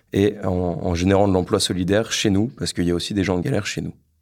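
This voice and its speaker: A man speaks at a very deep, low pitch with fairly even intonation. The recording is very clean with a silent background. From northern France, Lille. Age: 20s. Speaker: engineer entrepreneur. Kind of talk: podcast interview, personal story. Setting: his office. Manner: halting, many repetitions and fillers.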